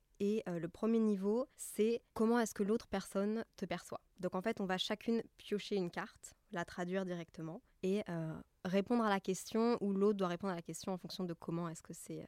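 A woman with a plain, everyday voice talks at a medium pitch and a moderate pace. The recording is very clean, dry and close, with a silent background and no echo. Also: fairly even intonation. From Belgium. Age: 20s. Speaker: podcast host. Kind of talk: casual chat.

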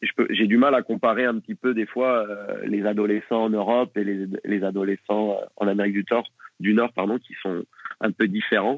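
Keeping a fairly even intonation, a man talks at a moderate pace and a fairly low pitch. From France, Nantes area. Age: 30s. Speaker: football coach. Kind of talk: interview. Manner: halting.

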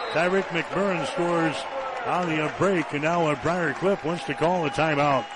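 At a moderate pace and with ordinary pitch variation, a man talks in a high voice amid noticeable background noise. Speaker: radio play-by-play announcer. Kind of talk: live radio basketball play-by-play, brisk running call of each possession. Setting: courtside broadcast booth at arena. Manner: rises with excitement on made baskets and runs.

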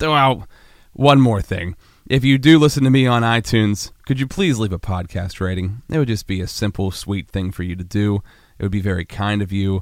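Fairly low in pitch, a man speaks at a fairly quick pace with ordinary pitch variation. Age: 30s. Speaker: podcast host. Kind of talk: casual interview; podcast intro. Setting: gym. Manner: animated.

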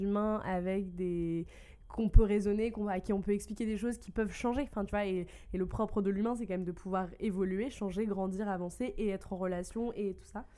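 A woman with an ordinary speaking voice, medium pitch, fairly even intonation and a moderate pace, on a very clean recording with a silent background. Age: 20s. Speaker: advocacy officer. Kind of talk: casual chat.

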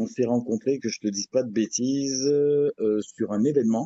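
The speech comes at a fairly slow pace with ordinary pitch variation. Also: man. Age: 50s. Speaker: MMA coach. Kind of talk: interview. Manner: hesitant, many fillers.

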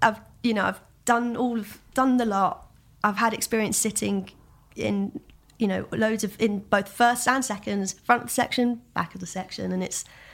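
A woman with a London accent, fairly high-pitched, at a moderate pace. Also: fairly even intonation. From Southeast London. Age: 20s. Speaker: musician. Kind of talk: casual chat.

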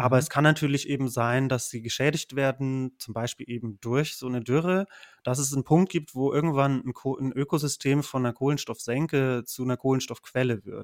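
A man talks at a moderate pace and medium pitch with fairly even intonation and hardly any pauses. The recording is very clean, with a silent background and a dry, close sound with no echo. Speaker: PhD researcher in geography. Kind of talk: casual interview.

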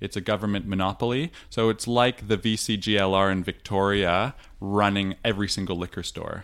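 Using an ordinary speaking voice, a man with a Canadian accent talks at a fairly quick pace, with a fairly low pitch and fairly even intonation. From Canada, Toronto. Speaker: brewery co-owner. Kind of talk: casual interview. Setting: brewery office.

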